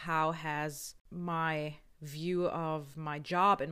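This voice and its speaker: The delivery is monotone and flat, captured in a very clean recording with a silent background. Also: woman. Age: 30s. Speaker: podcast host. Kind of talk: scripted monologue. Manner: hesitant; laughing.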